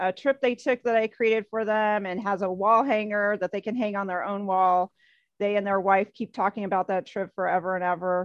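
A woman with an American accent and an ordinary speaking voice talks at a moderate pace and medium pitch, recorded dry and close with no echo against a quiet background. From US Midwest. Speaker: photographer and photo travel guide. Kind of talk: casual interview chat.

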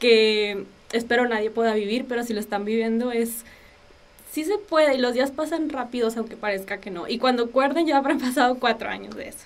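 The pace is fairly quick, with ordinary pitch variation. Loudness swings widely. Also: woman, high pitch for a woman. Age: 20s. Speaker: illness survivor and communicator. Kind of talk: testimony. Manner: talkative.

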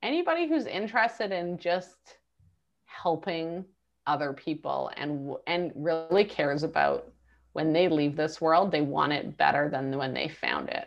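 A woman with a normal speaking voice talks at a fairly slow pace, her fairly low pitch showing ordinary variation. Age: 40s. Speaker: entrepreneur. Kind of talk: interview.

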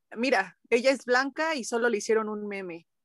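At a moderate pace, a woman with fairly high pitch and ordinary pitch variation talks in an ordinary speaking voice, with a dry, close sound and no echo. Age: 20s. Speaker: podcast co-host, university student. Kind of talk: casual chat.

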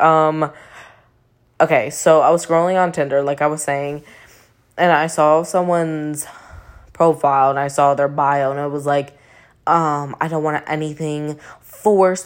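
In a very clean recording with a silent background, a woman speaks quietly at a moderate pace, her very deep, low voice monotone and flat. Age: 20s. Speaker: podcast host. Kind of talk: casual monologue. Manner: quiet, low voice.

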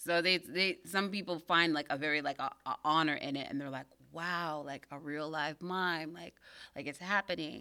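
A woman with an American accent speaks in a normal speaking voice at a moderate pace, her pitch fairly low and her intonation fairly even. Her loudness swings widely, and the recording is very clean with a silent background. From Pittsburgh area, US. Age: 30s. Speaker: mime artist. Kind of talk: interview conversation.

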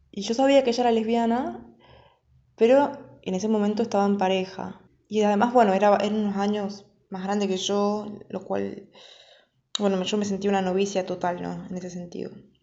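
A woman speaks at a moderate pace and a medium pitch, her intonation fairly even, with audible room echo. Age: 20s. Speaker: storyteller. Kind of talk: personal testimony. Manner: halting.

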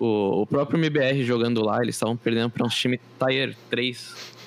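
With ordinary pitch variation, this man talks in an unremarkable speaking voice. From Brazil, São Vicente. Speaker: podcast co-host. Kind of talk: casual chat. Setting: online call.

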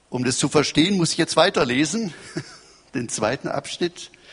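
Noticeable background noise sits behind a man's voice. He talks at a moderate pace with very wide pitch swings. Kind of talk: sermon. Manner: formal, measured preacher's delivery, teaching and expounding scripture; earnest, quoting scripture verses aloud.

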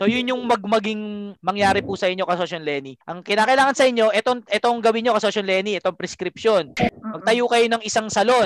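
A man at a high pitch and fairly quick pace, with ordinary pitch variation and hardly any pauses, in a dry, close sound with no echo and noticeable background noise. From Philippines. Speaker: business podcast host and coach. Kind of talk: live business coaching call-in. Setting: Zoom call.

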